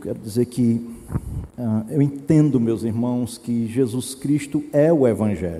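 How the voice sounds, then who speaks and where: The tone is dark and mellow, and the pace is very slow. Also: man. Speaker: pastor. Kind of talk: sermon.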